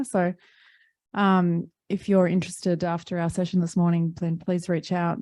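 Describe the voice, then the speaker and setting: In an Australian accent, a woman speaks with a fairly low pitch, a dark, mellow tone and fairly even intonation against a quiet background. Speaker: environmental tech company representative. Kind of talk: panel discussion. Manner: hesitant, many fillers.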